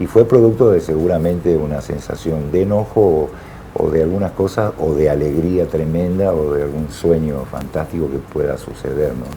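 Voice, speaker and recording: A man with a very deep, low pitch and ordinary pitch variation, against noticeable background noise. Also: moderate pace. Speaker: musician. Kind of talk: TV interview.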